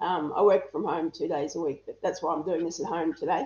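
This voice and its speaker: In an Australian accent, a woman speaks at a very fast pace. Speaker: interview guest. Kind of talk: casual interview.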